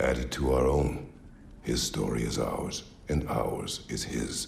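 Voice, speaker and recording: With clear background noise behind him, a man does a cartoonish character voice, very deep and low in pitch, at a fairly slow pace. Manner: terse, grave.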